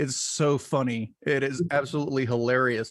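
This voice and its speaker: At a fairly slow pace, a man with a plain, everyday voice speaks in a fairly high pitch with an American accent. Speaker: podcast host. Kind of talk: podcast interview, casual.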